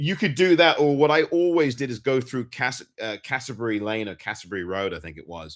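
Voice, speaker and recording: A man at a fairly quick pace with a medium pitch, very wide pitch swings, big swings in loudness and hardly any pauses. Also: very clean recording, silent background. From Pinner, northwest London, England. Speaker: podcast host. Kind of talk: casual chat.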